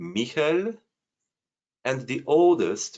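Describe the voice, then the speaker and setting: This man's fairly high voice swings very widely in pitch. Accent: Polish. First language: Polish. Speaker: amateur genealogy researcher. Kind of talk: screen-share presentation. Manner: halting, many fillers.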